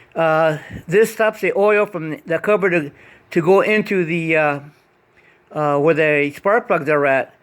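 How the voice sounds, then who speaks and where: With long, frequent pauses, a man talks at a fairly slow pace and a high pitch, his pitch variation ordinary. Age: 70s. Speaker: hobbyist car DIY vlogger. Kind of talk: DIY repair tutorial. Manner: halting, many fillers; casual, conversational.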